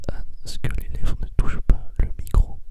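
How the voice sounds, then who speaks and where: Over noticeable background noise, the man's whisper unfolds very slowly. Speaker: ASMR creator. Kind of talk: casual talk to camera, ASMR whisper. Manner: whispered, soft, close to the microphone.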